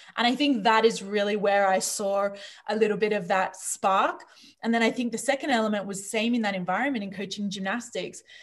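A woman with an Australian accent speaks fairly quickly at a fairly high pitch, with ordinary pitch variation. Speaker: leadership coach. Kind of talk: interview.

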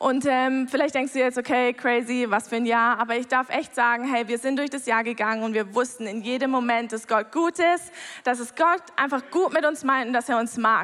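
A woman talks at a moderate pace in a high voice, with hardly any pauses. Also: ordinary pitch variation. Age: 30s. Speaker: church member giving a talk. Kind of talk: testimony.

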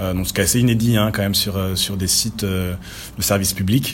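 A fairly low-pitched man at a moderate pace, with ordinary pitch variation. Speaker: freelance developer. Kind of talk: casual discussion. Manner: animated.

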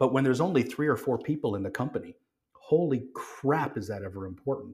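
In a normal speaking voice with a Canadian accent, a man talks at a moderate pace with ordinary pitch variation. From Calgary, Canada. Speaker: watch designer and brand co-owner. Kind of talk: casual chat. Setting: studio.

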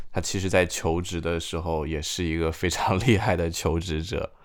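Speaking at a moderate pace, a man with a slight northeastern Chinese accent has a very deep, low pitch. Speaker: podcast host. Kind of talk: casual chat.

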